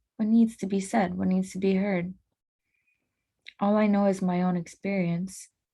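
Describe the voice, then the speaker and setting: A woman at medium pitch speaks in a dark, mellow, somewhat breathy tone with monotone, flat intonation and long, frequent pauses. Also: moderate pace. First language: not English. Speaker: podcast host. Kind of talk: casual monologue. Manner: halting.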